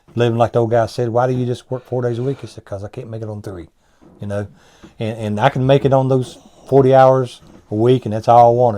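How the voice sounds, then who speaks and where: A man's very fast, monotone delivery at medium pitch, dark and mellow in tone, with flat intonation. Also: big swings in loudness. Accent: Appalachian. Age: 60s. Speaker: businessman. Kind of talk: interview. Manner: halting.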